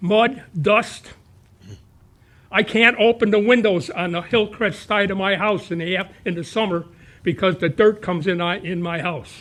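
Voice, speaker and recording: At a moderate pace, a man talks at a high pitch with ordinary pitch variation. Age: 80s+. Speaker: retired resident speaking at public comment. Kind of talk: public comment at town meeting. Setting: town board meeting.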